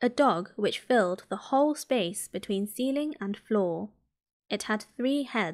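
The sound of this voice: An unforced reading voice with lively intonation. The background is quiet.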